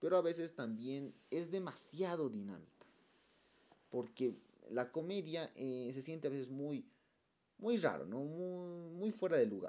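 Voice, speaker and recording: Lively in intonation, a man talks at a fairly slow pace with a dark, mellow tone. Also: fairly high pitch for a man. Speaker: film review youtuber. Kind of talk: casual monologue review. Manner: halting, many repetitions.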